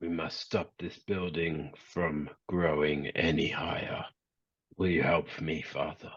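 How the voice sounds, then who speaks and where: In a put-on character voice, a man booms in a very deep, low, raspy register, speaking fairly slowly with monotone, flat intonation. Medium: actual play. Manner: booming, fervent.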